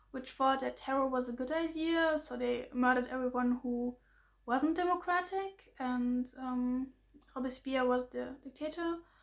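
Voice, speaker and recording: A woman with a German accent speaks at a high pitch. Her intonation stays fairly even, and her pace is fairly slow. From Germany. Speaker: political commentary vlogger. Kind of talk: explainer monologue. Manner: halting, many fillers and restarts.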